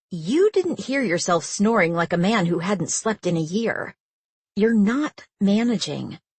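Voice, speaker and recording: Putting on a growling character voice, a woman at medium pitch speaks at a fairly slow pace with lively intonation. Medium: read story. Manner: teasing, direct.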